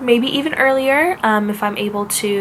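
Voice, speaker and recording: Noticeable noise runs in the background as the words come at a moderate pace. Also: woman. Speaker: author vlogger. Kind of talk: casual chat.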